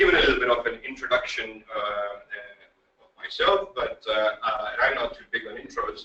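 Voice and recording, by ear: A man speaks at a moderate pace and medium pitch. His tone is bright and sharp, with ordinary pitch variation.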